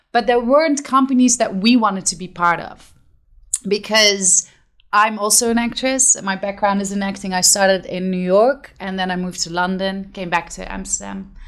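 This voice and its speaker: Her medium-pitched voice carries a Dutch accent as the woman speaks at a moderate pace with ordinary pitch variation. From Netherlands, Limburg (Venlo). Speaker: theater company co-founder, actress. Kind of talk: interview.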